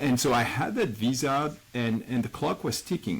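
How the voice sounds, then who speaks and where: A man with a French accent, ordinary pitch variation and a moderate pace. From France. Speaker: immigrant entrepreneur. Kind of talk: interview.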